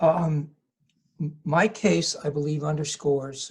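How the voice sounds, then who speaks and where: A man speaks at a very slow pace with a fairly high pitch. His voice is somewhat breathy. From US Northeast, southern New Jersey. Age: 60s. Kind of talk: interview. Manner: halting.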